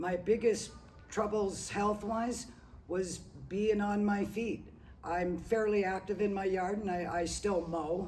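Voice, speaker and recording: Music plays in the background as the speech unfolds at a very slow pace. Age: 60s. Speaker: retired gym member. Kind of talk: interview. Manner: halting, many fillers.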